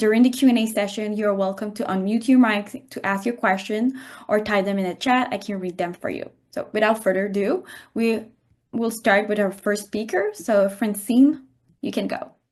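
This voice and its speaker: With a French Canadian accent, a woman speaks at a fairly high pitch. Her pace is moderate and her intonation fairly even. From French Canada. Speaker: webinar host, radiology resident. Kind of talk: online presentation introduction.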